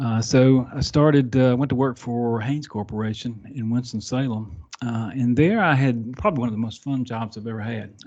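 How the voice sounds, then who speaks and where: Hardly any pauses break up speech that runs at a fairly quick pace. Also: man, medium pitch for a man, fairly even intonation. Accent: Southern US. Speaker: software delivery architect. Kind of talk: podcast interview. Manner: halting, many fillers.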